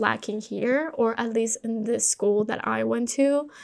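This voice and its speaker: With a Spanish accent, a woman is talking. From Colombia. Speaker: podcast host. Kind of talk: personal monologue.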